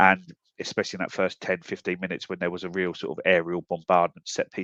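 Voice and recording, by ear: At a fast pace, a man speaks with a low, nasal pitch and a fairly bright tone in a dry, close sound with no echo.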